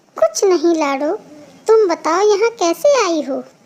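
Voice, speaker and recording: A squeaky cartoonish character voice at a fairly slow pace. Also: woman, extremely high pitch for a woman. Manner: outspoken.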